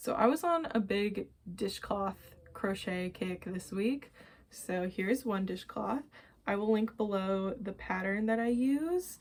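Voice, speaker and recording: With lively intonation, a woman delivers her words at a fairly slow pace in an ordinary speaking voice. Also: fairly high pitch for a woman. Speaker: knitting and crochet podcaster. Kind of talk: casual show-and-tell vlog.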